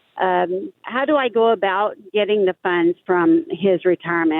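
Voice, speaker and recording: With lively intonation, a woman speaks at a medium pitch in a plain, everyday voice. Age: 60s. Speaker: caller. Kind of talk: phone-in question.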